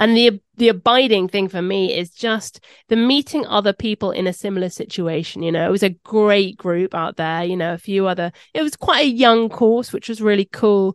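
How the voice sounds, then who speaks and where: A woman with a southern English accent at a moderate pace, medium in pitch with ordinary variation, in a dry, close sound with no echo and a quiet background. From London. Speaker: podcast host. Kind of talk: interview.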